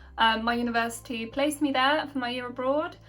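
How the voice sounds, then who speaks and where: A woman with a British accent, high pitch and ordinary pitch variation, at a fairly quick pace over noticeable background noise. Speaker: YouTuber, university student. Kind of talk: casual Q&A chat. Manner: hesitant, many fillers.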